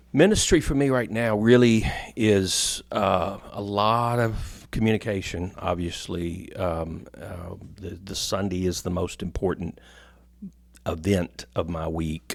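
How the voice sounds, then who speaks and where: With an American accent and a fairly low pitch, a man speaks at a very slow pace and ordinary pitch variation in a very clean recording over a silent background. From US military town. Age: 60s. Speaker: pastor. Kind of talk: interview before a live audience. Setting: stage with live audience. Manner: halting, with fillers.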